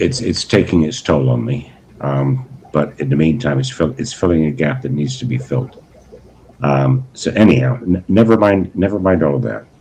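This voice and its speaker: A man speaks at a moderate pace with a very deep, low pitch and very wide pitch swings. Noticeable background noise runs under him. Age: 60s. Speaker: aquarium hobbyist livestreamer. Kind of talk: casual livestream chat. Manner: halting, many repeated words; polite.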